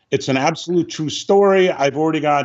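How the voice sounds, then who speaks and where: A man speaks in an ordinary speaking voice. His pitch sits fairly high, with ordinary variation. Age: 60s. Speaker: film script supervisor and director. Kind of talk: interview.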